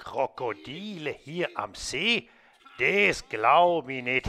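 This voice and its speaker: At a very slow pace, a man performs a cartoonish character voice. His pitch is fairly high. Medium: puppet.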